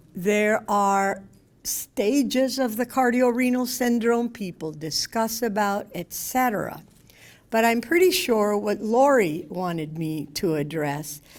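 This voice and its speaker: A woman's fairly high voice at a very slow pace, lively in intonation, on a very clean recording with a silent background. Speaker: physician giving a talk to patients. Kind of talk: lecture. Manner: loud.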